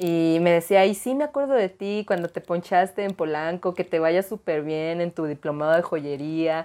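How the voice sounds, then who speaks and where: Her fairly low voice has a dark, mellow tone and ordinary pitch variation as this woman speaks at a moderate pace with hardly any pauses. The recording is very clean, with a silent background. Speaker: streamer and adult content creator. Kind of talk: casual interview chat.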